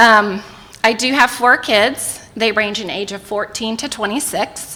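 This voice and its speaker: Against noticeable background noise, a woman with an American accent talks at a fairly slow pace in a fairly high pitch, her intonation fairly even and her loudness swinging widely. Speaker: mayoral candidate. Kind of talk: campaign debate statement. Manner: voice quivering.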